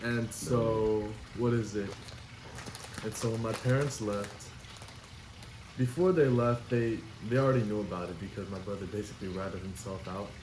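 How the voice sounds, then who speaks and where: A man's fairly low voice at a moderate pace, with ordinary pitch variation and long, frequent pauses, amid noticeable background noise and audible room echo. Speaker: podcast co-host. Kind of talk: casual chat.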